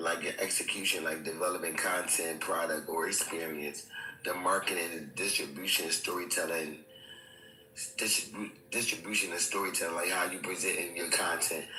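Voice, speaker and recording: Music plays in the background as a man speaks at a moderate pace with audible room echo. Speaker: aspiring content creator. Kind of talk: casual chat.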